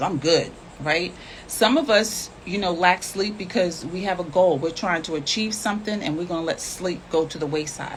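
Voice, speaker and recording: At a fairly quick pace, a woman talks with a fairly low pitch and ordinary pitch variation, noticeable background noise behind her. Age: 60s. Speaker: health and nutrition promoter. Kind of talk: casual live chat. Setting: live stream.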